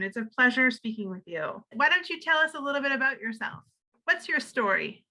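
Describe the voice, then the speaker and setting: A woman speaks in a raised, projected voice at a high pitch with a bright, sharp tone. Her pace is fairly quick and her pitch swings very widely. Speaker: library interviewer. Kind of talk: interview questions.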